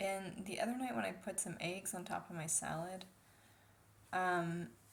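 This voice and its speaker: There is audible room echo as a woman speaks at a moderate pace in a medium pitch with vocal fry. Her pitch varies in an ordinary way. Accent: American. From United States. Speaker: vlogger. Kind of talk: casual vlog monologue. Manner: soft-spoken; hesitant, many fillers.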